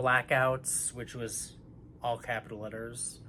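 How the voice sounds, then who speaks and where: A man is whispering. His pace is very slow. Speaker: astrology channel host. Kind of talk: spiritual reading.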